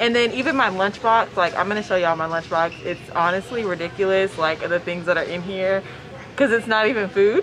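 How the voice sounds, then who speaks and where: Noticeable background noise surrounds this woman. She talks at a fairly quick pace. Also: ordinary pitch variation. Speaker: flight attendant vlogger. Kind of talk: casual vlog chat. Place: station. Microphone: phone near.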